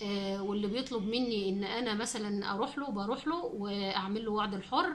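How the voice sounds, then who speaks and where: A woman with an Egyptian accent speaks at a fairly high pitch with very even loudness. Audible room echo and noticeable background noise are present. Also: ordinary pitch variation, moderate pace. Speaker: cooking channel host. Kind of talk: casual chat to viewers. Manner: halting, many fillers and restarts.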